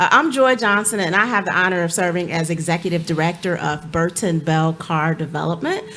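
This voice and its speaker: A fairly low-pitched woman with an American accent at a fairly quick pace, hardly any pauses, and noticeable background noise. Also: ordinary pitch variation. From Cleveland, Ohio. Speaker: nonprofit executive director. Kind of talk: panel discussion. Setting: stage with audience.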